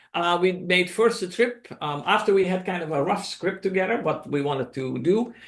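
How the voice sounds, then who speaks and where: A man talks with a high pitch, ordinary pitch variation, a moderate pace and hardly any pauses. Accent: Dutch. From Netherlands. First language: Dutch. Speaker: documentary filmmaker. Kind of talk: presentation to a club meeting. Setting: club meeting, in person and on video call. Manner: hesitant, many fillers.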